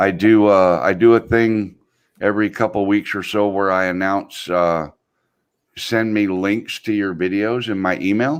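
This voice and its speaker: With an unremarkable speaking voice, a man talks at a fairly low pitch and with fairly even intonation. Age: 60s. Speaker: drone video creator. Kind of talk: casual chat.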